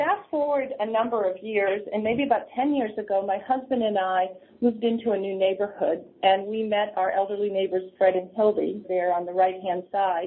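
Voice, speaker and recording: This woman has a plain, everyday voice with an American accent. Her pitch is fairly high, with ordinary variation. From New Hampshire, US. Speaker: senior services nonprofit leader. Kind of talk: interview.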